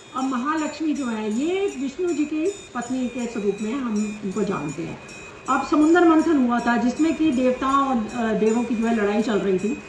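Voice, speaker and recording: A woman speaks in a high voice with lively intonation. Music plays in the background. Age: 60s. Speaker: YouTuber, dietician. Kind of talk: storytelling.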